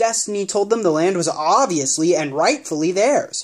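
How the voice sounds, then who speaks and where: Middle-pitched, put-on character voice. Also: moderate pace. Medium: read story.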